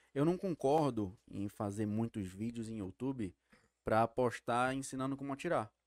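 In a normal speaking voice with ordinary pitch variation, a man of medium pitch talks at a moderate pace, the sound dry and close with no echo. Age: 20s. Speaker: sport shooter. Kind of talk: casual chat.

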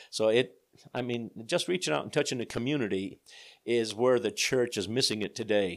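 In a normal speaking voice, a man talks at medium pitch and a moderate pace, with ordinary pitch variation. The recording is very clean, with a silent background. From Pennsylvania, Scranton area. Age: 60s. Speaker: church bishop. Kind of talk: interview. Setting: office.

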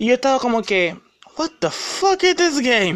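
Speaking at a moderate pace, a man uses an animated tone with very wide pitch swings. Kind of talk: angry rant. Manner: indignant.

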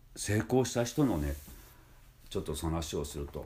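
A man speaks at a moderate pace in a relaxed tone, somewhat breathy. His pitch swings very widely. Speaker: music school head and voice trainer. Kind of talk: casual monologue. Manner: relaxed, many filler pauses.

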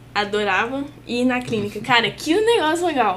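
A woman speaks at a high pitch, and audible room echo can be heard. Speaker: physiotherapy student. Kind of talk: casual chat.

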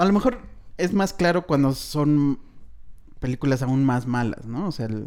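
Lively intonation carries this speech in a Mexican accent, delivered at a fairly slow pace with long, frequent pauses. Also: man, fairly high pitch for a man. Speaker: film podcast host. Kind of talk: casual chat.

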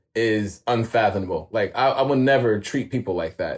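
On a very clean recording with a silent background, a man with a New York accent speaks at a medium pitch and a moderate pace. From New York (Queens). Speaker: street photographer. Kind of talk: casual interview chat.

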